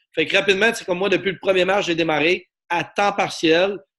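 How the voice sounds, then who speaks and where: A man talks in an animated tone at a fairly quick pace. The background is quiet. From Quebec. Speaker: network marketing presenter. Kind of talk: sales pitch.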